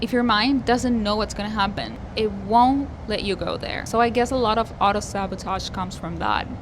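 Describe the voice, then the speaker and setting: A woman talks at a moderate pace with a Spanish accent. Noticeable background noise and audible room echo fill the recording. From Argentina. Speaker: singer-songwriter vlogger. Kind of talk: personal vlog monologue.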